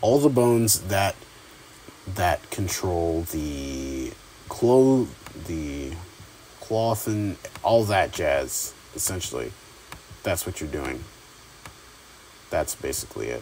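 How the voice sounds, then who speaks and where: A very slow pace with long, frequent pauses over noticeable background noise. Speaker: YouTube tutorial creator. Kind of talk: tutorial. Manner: halting, stuttering; casual, many filler words.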